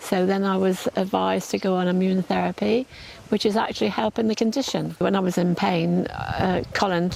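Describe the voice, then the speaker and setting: This woman talks at a moderate speed. Background noise is clearly noticeable. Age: 80s+. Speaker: cancer patient. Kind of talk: testimony. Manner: halting, repeats words.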